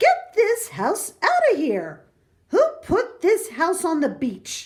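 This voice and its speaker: A woman's squeaky, put-on character voice at an extremely high pitch, with very wide pitch swings and a very slow pace. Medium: read story. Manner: bossy, scoffing.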